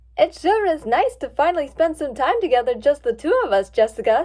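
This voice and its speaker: A woman does a put-on character voice, high-pitched with very wide pitch swings, at a fairly quick pace. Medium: read story.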